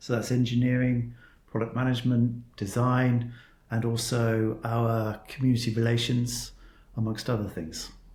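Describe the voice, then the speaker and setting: Speaking with a southern English accent, a man has a medium pitch and a somewhat breathy voice. His intonation is monotone and flat, with audible room echo. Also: moderate pace. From southern England, Cornwall. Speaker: tech executive. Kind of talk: interview.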